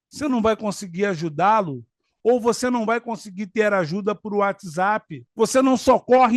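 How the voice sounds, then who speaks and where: A high-pitched man's voice at a fairly slow pace with ordinary pitch variation, over a quiet background with a dry, close sound and no echo. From Rio de Janeiro, Brazil. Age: 50s. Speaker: law graduate, political commentator. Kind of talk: political commentary talk to camera.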